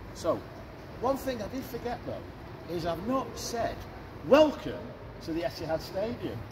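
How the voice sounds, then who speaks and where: A man with a Mancunian accent speaks at a high pitch and a fairly slow pace, with very wide pitch swings and long, frequent pauses. Audible room echo and noticeable background noise surround him. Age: 60s. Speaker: stadium tour guide. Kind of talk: guided tour talk. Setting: stadium stands with tour group. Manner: animated.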